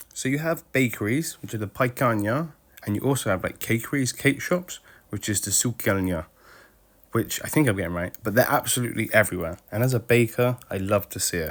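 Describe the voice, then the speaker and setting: In an English accent, a man at medium pitch speaks fairly quickly with lively intonation in a very clean recording with a silent background. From UK. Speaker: travel vlogger. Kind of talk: travel vlog narration. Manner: casual, conversational.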